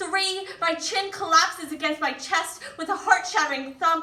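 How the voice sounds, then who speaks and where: With a raised, projected voice and an extremely high pitch, a woman speaks at a fairly slow pace in a fairly even intonation. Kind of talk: spoken word poetry performance.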